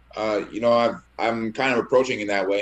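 With an American accent, a man speaks fairly quickly in a plain, everyday voice and fairly even intonation. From Minnesota. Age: 30s. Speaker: professional boxer. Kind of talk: press conference.

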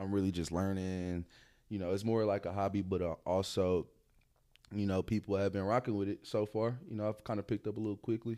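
Recorded very cleanly against a silent background, a man speaks at a fairly low pitch with a dark, mellow tone and fairly even intonation. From Dallas area, Texas. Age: 20s. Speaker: photographer and DJ. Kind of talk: casual chat. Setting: studio.

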